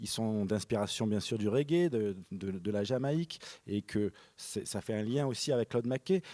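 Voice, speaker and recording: A man's dark, mellow voice comes through a very clean recording with a silent background and a dry, close sound with no echo. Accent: Marseille. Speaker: film director. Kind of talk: panel discussion. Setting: stage with audience. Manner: halting, many repetitions; low energy.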